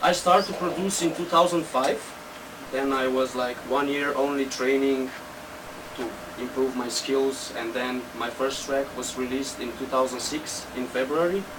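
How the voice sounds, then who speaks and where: Male voice with noticeable background noise and audible room echo. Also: medium pitch for a man, ordinary pitch variation, moderate pace. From Slovenia. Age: 20s. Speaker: techno DJ and producer. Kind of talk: interview. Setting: studio.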